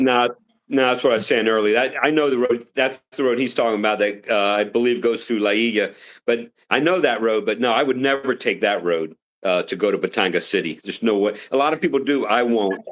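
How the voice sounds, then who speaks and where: This man has a plain, everyday voice at medium pitch with ordinary pitch variation. He talks at a fairly quick pace with very even loudness. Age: 60s. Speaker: retired military officer. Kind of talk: casual live stream chat.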